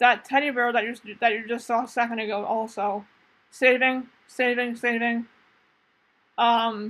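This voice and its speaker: This woman's fairly high voice stays monotone and flat throughout. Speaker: gaming YouTuber. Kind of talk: casual gameplay commentary. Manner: halting, stumbling over words.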